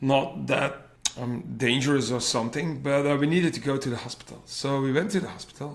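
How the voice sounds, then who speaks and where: A man with a Flemish accent talks fairly quickly at a fairly high pitch with ordinary pitch variation. Audible room echo and noticeable background noise surround him. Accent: Flemish Belgian. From Flanders, Belgium. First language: Dutch (Flemish). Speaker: cardiac arrest survivor and PhD researcher. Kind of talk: personal testimony in interview. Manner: halting, searching for English words.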